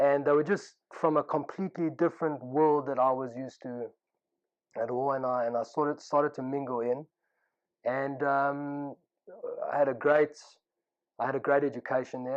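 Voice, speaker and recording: With a South African accent, a man speaks at a fairly high pitch and fairly even intonation, leaving long, frequent pauses. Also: moderate pace. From South Africa (Pretoria, Johannesburg). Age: 30s. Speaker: yeshiva student telling his life story. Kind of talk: personal testimony. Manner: casual, with frequent fillers.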